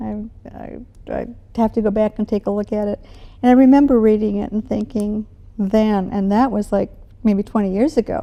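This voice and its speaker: A woman with an American accent speaks at a moderate pace, with long, frequent pauses. Her pitch is fairly high, and her tone is dark and mellow. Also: fairly even intonation. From US Midwest, Milwaukee, Wisconsin. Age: 70s. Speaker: retired educator. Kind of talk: interview.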